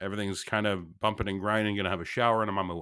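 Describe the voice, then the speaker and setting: A loud man's voice, fairly low in pitch, bright and sharp in tone. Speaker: podcast co-host and patient. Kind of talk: storytelling, comedic. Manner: loud, animated.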